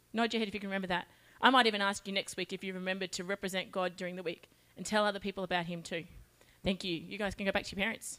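On a very clean recording with a silent background, a woman speaks very fast in a bright, sharp tone with monotone, flat intonation. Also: medium pitch for a woman. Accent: Australian. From Australia, Charters Towers (Queensland). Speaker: children's ministry leader. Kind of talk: children's talk.

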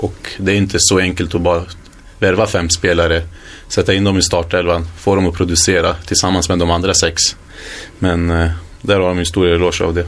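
A man talks at a fairly quick pace in a very deep, low pitch. His intonation is monotone and flat, and his loudness stays very even. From Sweden, Hallstahammar (Västmanland). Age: 20s. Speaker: footballer. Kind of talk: interview.

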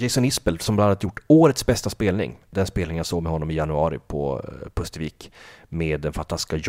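A man talks with a very deep, low pitch and vocal fry in a dark, mellow tone. His pace is moderate, with ordinary pitch variation. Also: very clean recording, silent background. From northern Sweden (Kalix, Norrbotten). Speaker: podcast host, music enthusiast. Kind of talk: casual chat about music albums.

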